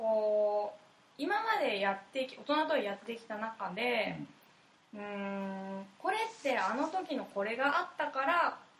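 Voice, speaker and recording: A woman's fairly high voice with lively intonation at a very slow pace, with audible room echo. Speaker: fashion designer. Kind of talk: interview.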